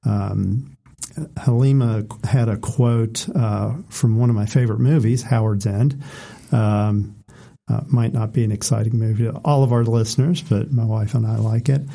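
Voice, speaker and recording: Somewhat breathy, with a dark, mellow tone, a man talks at medium pitch and a moderate pace with fairly even intonation. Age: 40s. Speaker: podcast co-host. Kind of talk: casual chat.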